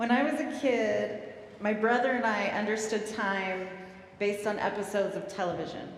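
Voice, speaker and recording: Moderate pace and ordinary pitch variation over noticeable background noise. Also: woman, medium pitch for a woman. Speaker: guest preacher. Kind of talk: sermon delivered live in church.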